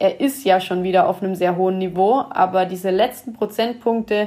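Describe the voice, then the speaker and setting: A woman speaks at medium pitch and a moderate pace. Hers is a plain, everyday voice. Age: 20s. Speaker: football coach and analyst. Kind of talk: casual chat.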